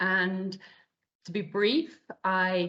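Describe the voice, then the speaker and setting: A woman's medium-pitched voice with a British accent and ordinary pitch variation. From UK. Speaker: operations director and process consultant. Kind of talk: interview. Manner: hesitant fillers (um, uh).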